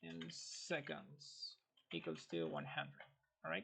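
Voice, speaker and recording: A man speaks with a non-native accent. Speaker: video game modder. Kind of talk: tutorial. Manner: halting, with fillers.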